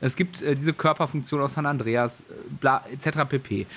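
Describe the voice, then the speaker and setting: This is an unremarkable speaking voice from a man with a fairly high pitch. He talks at a moderate pace with ordinary pitch variation. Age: 30s. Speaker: gaming news podcast host. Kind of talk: casual chat. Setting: home office, remote call.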